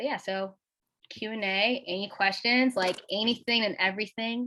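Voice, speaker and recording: The tone is bright and sharp. Pitch varies in an ordinary way. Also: woman. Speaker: alumni workshop speaker. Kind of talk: workshop talk. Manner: fast; casual, many filler words.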